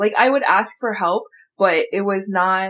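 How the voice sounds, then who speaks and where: Her voice is a normal speaking voice at medium pitch with ordinary pitch variation. The woman keeps a moderate pace. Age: 20s. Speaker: podcast co-host and teacher. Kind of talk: casual chat.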